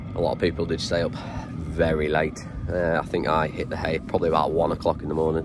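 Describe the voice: A husky, very deep, low-pitched put-on character voice from a man at a very fast pace, with noticeable background noise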